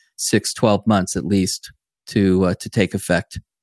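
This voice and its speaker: At a moderate pace and with fairly even intonation, a man with a fairly low pitch is heard in a dry, close sound with no echo on a very clean recording with a silent background. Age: 60s. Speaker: tech executive and investor. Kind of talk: casual chat. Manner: halting.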